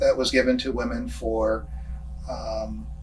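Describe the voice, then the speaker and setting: A man speaks at a fairly slow pace with a Canadian accent. Music plays in the background, and there is audible room echo. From Canada, Toronto. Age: 60s. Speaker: local senior sharing life story. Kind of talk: personal testimony. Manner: halting, many fillers.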